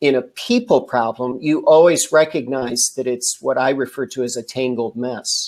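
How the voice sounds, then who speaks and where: A man with a fairly high pitch uses a normal speaking voice, keeping a moderate pace and ordinary pitch variation. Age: 60s. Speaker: leadership development trainer. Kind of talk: interview. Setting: live stream.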